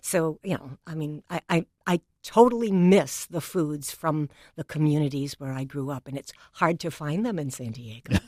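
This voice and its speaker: A woman's very deep, low, dark and mellow voice with a New England accent, lively intonation and big swings in loudness at a moderate pace, dry and close with no echo in a very clean recording with a silent background. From New England, New Bedford, Massachusetts. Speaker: education leader, former dean. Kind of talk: interview conversation.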